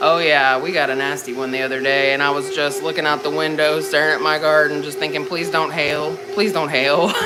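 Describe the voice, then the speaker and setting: Music plays in the background as a man talks at a fairly quick pace, with audible room echo. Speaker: home cooking livestreamer. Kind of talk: casual livestream chat.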